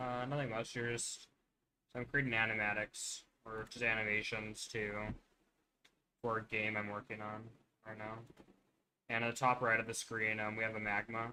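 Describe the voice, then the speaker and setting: A soft-spoken man at medium pitch and moderate pace, bright and sharp in tone, monotone and flat. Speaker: streamer. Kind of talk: casual chat. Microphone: too quiet.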